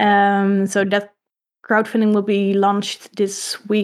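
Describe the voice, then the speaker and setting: A woman speaks at a medium pitch with a Dutch accent. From Netherlands. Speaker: comic artist. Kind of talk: casual interview. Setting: live stream.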